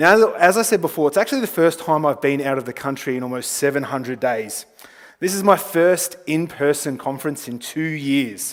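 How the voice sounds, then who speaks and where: A man speaks at a moderate pace with a fairly high pitch and an Australian accent. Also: lively intonation. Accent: thick Australian. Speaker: travel company representative. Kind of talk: conference presentation. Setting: conference stage with audience.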